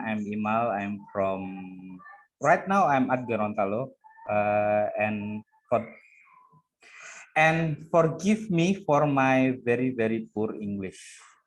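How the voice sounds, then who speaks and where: Over music in the background, a man with an Indonesian accent talks at a very slow pace with lively intonation. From East Java, Indonesia. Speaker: guest speaker, digital security hacker. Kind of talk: self-introduction in online course.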